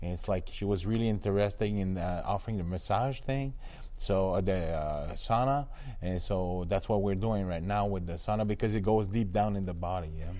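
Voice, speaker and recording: A man with a French Canadian accent and a dark, mellow tone talks at a fairly quick pace with ordinary pitch variation. Audible room echo surrounds his voice. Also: fairly low pitch for a man. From Quebec. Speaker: sauna business owner. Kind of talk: interview. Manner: halting.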